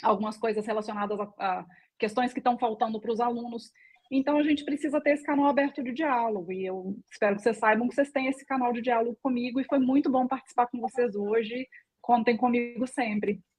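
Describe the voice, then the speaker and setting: In a Minas Gerais accent, a woman speaks high and at a fairly quick pace, with ordinary pitch variation. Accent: mineiro (Minas Gerais). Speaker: political candidate. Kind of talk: closing remarks in a live panel.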